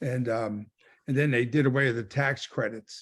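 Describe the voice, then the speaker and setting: A normal speaking voice, with ordinary pitch variation at a moderate pace, sits on a very clean recording with a silent background. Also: man. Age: 60s. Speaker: solar sales rep. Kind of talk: team training call.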